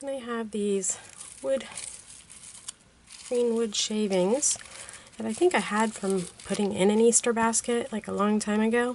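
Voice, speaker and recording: Amid noticeable background noise, a woman with a fairly high pitch and ordinary pitch variation speaks at a fairly slow pace, with long, frequent pauses. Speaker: card-making crafter. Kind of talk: tutorial. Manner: casual, conversational.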